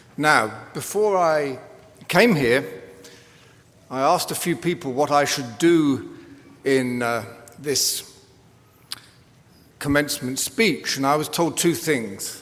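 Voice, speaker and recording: A man in an English accent at a fairly high pitch, very slow with long, frequent pauses, ordinary pitch variation and audible room echo. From England. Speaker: commencement speaker, professor. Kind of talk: commencement speech. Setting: arena with audience.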